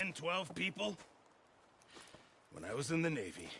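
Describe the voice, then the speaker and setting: In a put-on character voice, a man speaks at a high pitch with raspy, lively intonation. His pace is moderate. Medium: video game. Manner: fretful, rambling.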